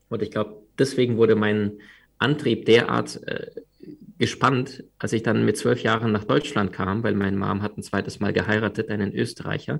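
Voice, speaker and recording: In a very clean recording with a silent background, a man speaks with vocal fry at a fairly low pitch. His pace is moderate, with ordinary pitch variation. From Crimea, Ukraine; moved to Germany at twelve. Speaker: personal development coach and author. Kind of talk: podcast interview.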